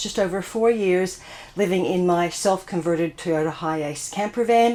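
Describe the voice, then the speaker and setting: With an Australian accent, a woman speaks at medium pitch and a moderate pace, her intonation fairly even, with noticeable background noise behind her. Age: 60s. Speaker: van life vlogger. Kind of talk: casual vlog talk to camera. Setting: inside a closed camper van.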